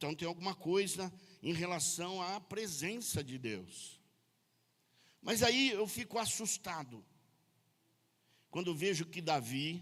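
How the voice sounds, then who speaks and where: A man with a high pitch and lively intonation speaks very slowly, leaving long, frequent pauses. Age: 60s. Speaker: pastor. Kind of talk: sermon. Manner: casual, joking.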